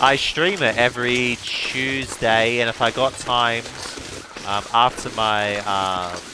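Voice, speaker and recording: Noticeable background noise sits behind a man talking at a very slow pace. His pitch is medium, with ordinary variation. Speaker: gaming streamer. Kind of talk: live gameplay commentary. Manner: halting, many repetitions.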